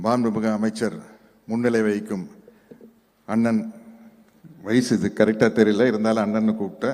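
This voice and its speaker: Here a man speaks in a dark, mellow tone at a fairly low pitch. His intonation is monotone and flat. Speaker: speaker at a book launch. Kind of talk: public speech. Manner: halting in English.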